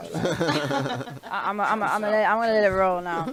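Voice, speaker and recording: Through noticeable background noise, a woman with a North London accent speaks at medium pitch. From North London, Archway. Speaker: rapper. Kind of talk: casual chat.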